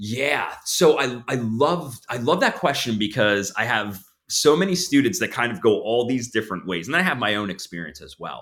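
With an American accent, a man speaks at a moderate pace with hardly any pauses, his medium pitch making very wide swings and his loudness swinging a lot. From New Jersey, near Long Beach Island. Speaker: counseling supervisor and professor. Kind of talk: interview conversation. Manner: repeats words when starting sentences.

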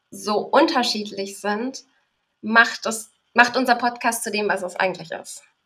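A woman's bright, sharp voice sits at a fairly high pitch as she speaks at a fairly slow pace. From Berlin, Germany. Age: 20s. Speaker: podcaster. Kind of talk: casual interview.

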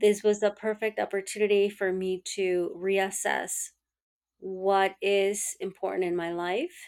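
Delivery comes at a very slow pace with monotone, flat intonation. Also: woman. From rural Mexico. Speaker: tech entrepreneur. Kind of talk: interview.

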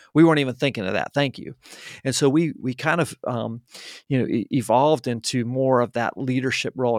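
Using a normal speaking voice with an American accent, a man talks at a fairly quick pace with fairly even intonation, the sound dry and close with no echo on a very clean recording with a silent background. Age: 50s. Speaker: marketing agency founder. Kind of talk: interview. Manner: frequent fillers and restarts.

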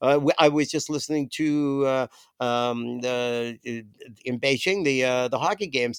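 On a very clean recording with a silent background, a man with an Ontario accent talks at a moderate pace in a medium pitch with ordinary pitch variation. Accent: Canadian (Ontario). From Toronto, Canada. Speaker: musician, former bass player. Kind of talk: casual chat. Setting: host's basement. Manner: halting, many fillers.

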